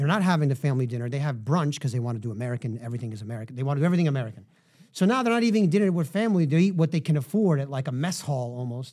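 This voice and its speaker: Very fast and lively, a man with a New York accent speaks in a fairly high voice with a dark, mellow tone, on a very clean recording with a silent background. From New York City, Manhattan. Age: 40s. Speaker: wine shop owner and author. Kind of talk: casual chat.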